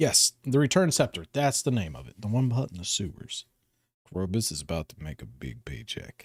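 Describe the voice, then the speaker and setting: In a dry, close sound with no echo, a man talks at a moderate pace with a fairly low, somewhat breathy voice and a relaxed tone, showing very wide pitch swings and big swings in loudness. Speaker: live-streaming gamer. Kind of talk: casual live gaming stream with chat reading. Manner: relaxed, chatty.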